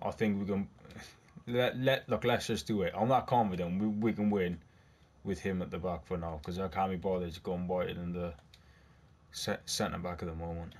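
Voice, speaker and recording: Long, frequent pauses on a very clean recording with a silent background. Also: man, very deep, low pitch for a man, ordinary pitch variation. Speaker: video game YouTuber. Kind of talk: live commentary. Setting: gaming at home, recorded gameplay. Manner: animated, excitable.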